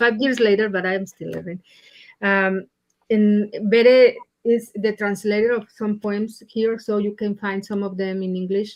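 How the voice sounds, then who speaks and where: In a Mexican accent, a woman speaks at medium pitch and a fairly slow pace with monotone, flat intonation. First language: Spanish. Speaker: poet. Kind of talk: poetry reading event remarks. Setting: livestreamed library reading. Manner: halting.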